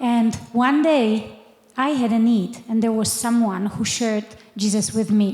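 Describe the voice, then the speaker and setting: Against noticeable background noise, a woman with a Polish accent speaks at a fairly slow pace, her fairly high pitch carrying fairly even intonation and very even loudness. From Poland. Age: 50s. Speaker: missionary. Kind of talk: testimony.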